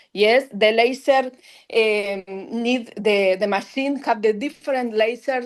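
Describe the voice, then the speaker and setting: A woman speaks in a Spanish accent. Her pitch is fairly high. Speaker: dentist, laser specialist. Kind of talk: lecture. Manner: halting.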